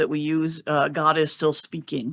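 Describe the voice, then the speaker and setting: A man talks in a normal speaking voice at a fairly high pitch and a moderate pace. The recording is very clean, with a silent background. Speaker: pastor. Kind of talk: bible study discussion.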